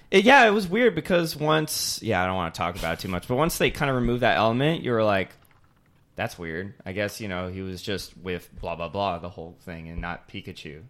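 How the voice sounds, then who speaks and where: A man talks at a fairly quick pace with fairly low pitch. His pitch swings very widely, and his loudness rises and falls sharply. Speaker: podcast host. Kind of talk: casual chat.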